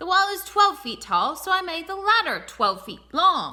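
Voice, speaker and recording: Putting on a character voice, a woman speaks gruffly at an extremely high pitch and a moderate pace. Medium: read story. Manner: gruff, grumbling.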